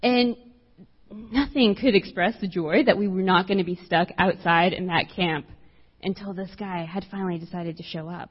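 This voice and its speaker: Somewhat breathy speech comes in an American accent. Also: woman. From South Texas, US-Mexico border. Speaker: campus minister. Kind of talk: sermon. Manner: soft-spoken.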